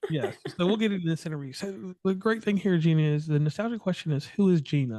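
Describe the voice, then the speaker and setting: Very fast and high-pitched, a man with a slight Appalachian accent speaks with lively intonation and a dark, mellow tone against a quiet background. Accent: slight Appalachian twang. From West Virginia. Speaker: podcast host. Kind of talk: interview podcast.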